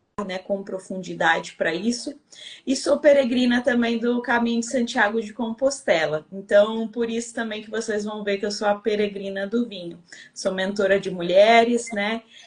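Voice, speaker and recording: Her loudness swinging widely, a woman speaks at a moderate pace with a fairly high pitch and ordinary pitch variation. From Brazil, Rio de Janeiro. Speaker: winemaker and women's mentor. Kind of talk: live-stream interview chat.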